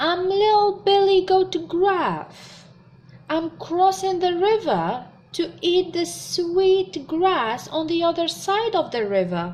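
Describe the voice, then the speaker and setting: A woman puts on a character voice at an extremely high pitch. She speaks very slowly. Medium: read story. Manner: timid, pleading.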